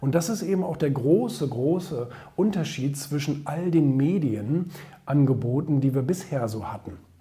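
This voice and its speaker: Audible room echo surrounds a man with a fairly high pitch. He talks at a fairly slow pace with lively intonation. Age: 30s. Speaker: entrepreneur and social media commentator. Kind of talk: opinion monologue. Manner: hesitant with many fillers.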